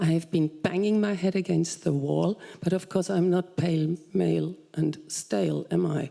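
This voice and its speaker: With a German accent, the speaker keeps a very even loudness and leaves hardly any pauses. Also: woman, fairly low pitch for a woman, ordinary pitch variation, moderate pace. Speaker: audience member, software scientist. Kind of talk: audience question.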